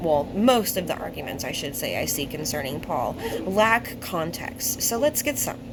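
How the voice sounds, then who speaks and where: Noticeable background noise and audible room echo surround this woman's voice. Her pitch is medium, with very wide pitch swings. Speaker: bible teacher. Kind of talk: bible study talk. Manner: slow; halting.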